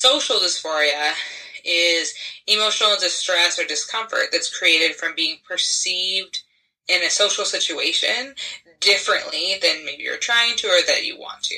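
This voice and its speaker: Lively intonation runs through an ordinary speaking voice. The pace is moderate. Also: woman, medium pitch for a woman. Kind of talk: casual interview.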